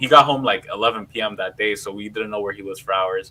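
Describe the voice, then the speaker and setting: His intonation stays fairly even. The man speaks at a fairly quick pace. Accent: New York. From New York City, Queens. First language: Spanish. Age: 30s. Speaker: political podcast host. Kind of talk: casual livestream discussion. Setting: live stream.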